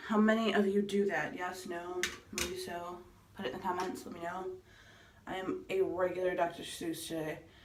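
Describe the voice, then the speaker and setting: There is audible room echo and light background noise as a woman speaks at a moderate pace with fairly even intonation. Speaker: beauty vlogger. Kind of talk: makeup tutorial. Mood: playful, relaxed. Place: bathroom. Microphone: phone near.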